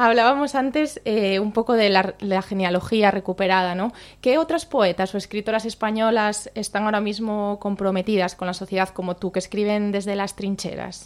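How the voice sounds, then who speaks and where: Speaking in a normal speaking voice at medium pitch, a woman keeps a moderate pace with hardly any pauses and ordinary pitch variation, on a very clean recording with a silent background. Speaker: radio host. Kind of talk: radio show presenting. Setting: radio studio.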